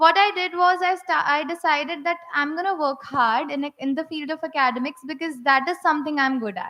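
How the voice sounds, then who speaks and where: Projecting her raised voice, a woman speaks with a bright, sharp tone. Her pitch is high, with ordinary pitch variation. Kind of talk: personal testimony speech. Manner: halting, with repetitions and fillers.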